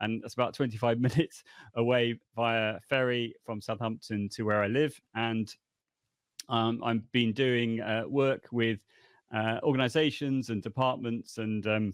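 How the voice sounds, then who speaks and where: A man with a British accent, medium pitch, fairly even intonation and a fairly slow pace, against a quiet background. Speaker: language education consultant. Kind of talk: podcast interview.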